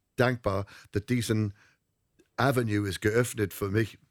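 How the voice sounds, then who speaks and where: In an English accent, a man with a fairly low pitch speaks at a fairly slow pace with fairly even intonation, in a dry, close sound with no echo on a very clean recording with a silent background. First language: English (speaking German). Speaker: singer and entertainer. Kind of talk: interview. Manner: halting, mixing English and German.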